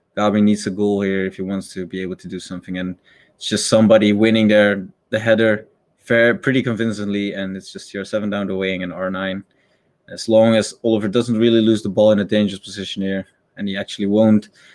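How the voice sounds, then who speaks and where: Speaking very fast with a Dutch accent, a man keeps a fairly low pitch and a flat, monotone delivery. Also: big swings in loudness. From Netherlands. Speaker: esports caster. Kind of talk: live commentary. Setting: live stream. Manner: casual, hesitant with fillers.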